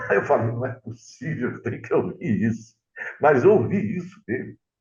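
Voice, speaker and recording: At a fairly slow pace, a man with vocal fry speaks at medium pitch with very wide pitch swings. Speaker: radio announcer. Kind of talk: interview storytelling.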